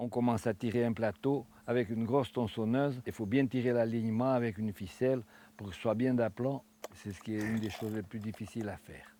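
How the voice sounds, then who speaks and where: At a fairly quick pace, a man speaks with fairly even intonation. His voice sits at a medium pitch with a dark, mellow tone. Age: 70s. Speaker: retired farmer and woodworker. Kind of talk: interview, craft explanation. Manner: halting, with repetitions.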